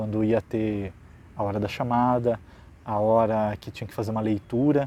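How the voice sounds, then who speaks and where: Fairly low-pitched man's voice, dark and mellow in tone, at a moderate pace. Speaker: teacher. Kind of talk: educational vlog. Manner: halting.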